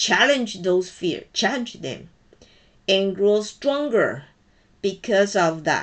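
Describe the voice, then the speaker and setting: Speaking very slowly in a Chinese accent, a woman holds a medium pitch. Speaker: college programming instructor. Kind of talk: personal message to students.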